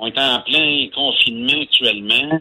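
A man talks at a very slow pace with a Quebec accent. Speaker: environmental organization founder. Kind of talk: radio interview.

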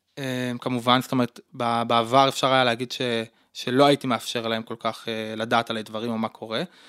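A man at a medium pitch, fairly quick and monotone, with a bright, sharp tone in a dry, close sound with no echo. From Israel, Gush Etzion. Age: 30s. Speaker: social worker. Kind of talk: interview.

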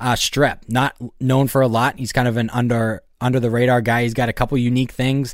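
Fairly quick speech from a man at a medium pitch, a plain, everyday voice, with fairly even intonation, in a very clean recording with a silent background. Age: 20s. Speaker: golf podcast host. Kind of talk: casual chat.

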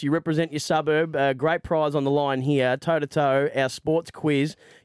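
The sound is dry and close, with no echo. A man speaks with an Australian accent. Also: very clean recording, silent background. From Victoria, Australia. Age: 30s. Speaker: radio host. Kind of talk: casual chat. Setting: studio.

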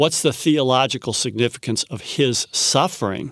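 A man in a normal speaking voice, medium-pitched with ordinary pitch variation, at a moderate pace, the sound dry and close with no echo, the recording very clean with a silent background. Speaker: biblical scholar. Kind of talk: interview.

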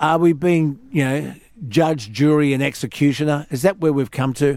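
A man speaks with an Australian accent at a moderate pace. His pitch is fairly high. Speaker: radio host. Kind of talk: casual chat. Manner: animated.

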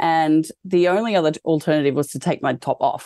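In an Australian accent, a woman talks at a fairly quick pace in a very deep, low pitch with a dark, mellow tone, and the sound is dry and close with no echo. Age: 30s. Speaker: fashion designer and cancer patient. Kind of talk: interview testimony.

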